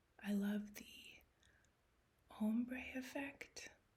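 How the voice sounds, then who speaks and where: A soft-spoken woman with a fairly high pitch. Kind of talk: ASMR show-and-tell.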